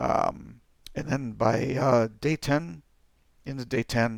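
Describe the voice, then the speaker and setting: Vocal fry runs through this man's speech. His pitch sits in the middle range. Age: 50s. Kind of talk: casual talk to camera.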